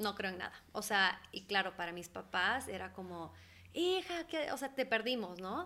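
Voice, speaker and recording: Her tone is bright and sharp. This woman talks at a fairly slow pace. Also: medium pitch for a woman, lively intonation. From Ecuador, moved to the US at age 10. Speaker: holistic therapist. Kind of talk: interview conversation. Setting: studio.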